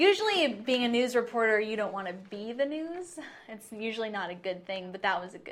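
Her fairly high voice, with an American accent, rises and falls in a lively way at a fairly quick pace, swinging widely in loudness amid audible room echo. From Clark County, Washington (Ridgefield). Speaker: TV news reporter. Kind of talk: casual interview chat. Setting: TV station studio.

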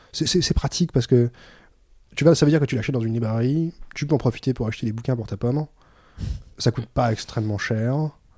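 Speaking at a very fast pace with long, frequent pauses, a man with a dark, mellow tone comes through on a very clean recording with a silent background. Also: medium pitch for a man, ordinary pitch variation. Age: 30s. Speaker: librarian. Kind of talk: casual chat. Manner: halting.

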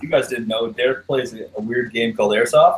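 A man talks at a medium pitch in a somewhat breathy voice, with ordinary pitch variation. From Canada. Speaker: airsoft milsim player. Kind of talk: casual chat.

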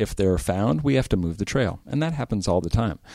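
In an American accent, a man talks very fast in a fairly low, dark, mellow voice, on a very clean recording with a silent background. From Eastern California. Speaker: trail organization director. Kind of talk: interview.

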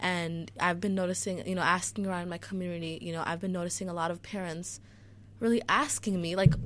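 A woman with an ordinary speaking voice talks at a fairly quick pace in a fairly low pitch, in an American accent. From US, Chicago. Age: 18. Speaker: school board candidate. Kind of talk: radio interview. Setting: studio.

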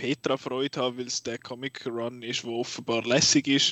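Monotone, flat intonation marks this man speaking in a Swiss accent. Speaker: film podcast host. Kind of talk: casual chat.

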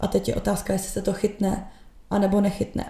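The voice has a dark, mellow tone with vocal fry. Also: woman. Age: 20s. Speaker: social media content creator and marketer. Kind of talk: casual chat.

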